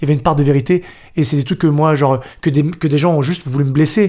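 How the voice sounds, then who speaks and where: A man talks at a very fast pace in a fairly high, somewhat breathy voice with a dark, mellow tone, on a very clean recording with a silent background. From Paris northern suburbs. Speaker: dancer and actor. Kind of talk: podcast interview.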